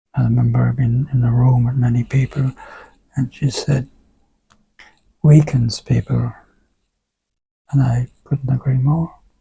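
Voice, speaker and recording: In an Irish accent, a man of medium pitch speaks slowly-ish in a monotone, flat way, his dark, mellow tone somewhat breathy and broken by long, frequent pauses. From rural Ireland. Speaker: Alexander Technique teacher. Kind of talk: interview conversation.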